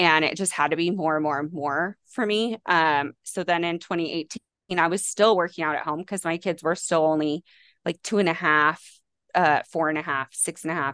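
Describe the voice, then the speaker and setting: A woman with an American accent talks at a moderate pace in a plain, everyday voice, fairly low in pitch and fairly even in intonation, with a dry, close sound, no echo and a quiet background. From US West, Las Vegas. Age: 30s. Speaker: fitness trainer. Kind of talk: casual chat. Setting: video call.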